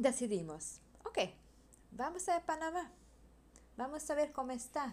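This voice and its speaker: Here a woman with a Hungarian accent speaks at high pitch. Her pace is fairly slow and her intonation lively. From Hungary. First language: Hungarian (speaking Spanish). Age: 30s. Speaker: podcaster. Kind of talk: casual monologue. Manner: halting.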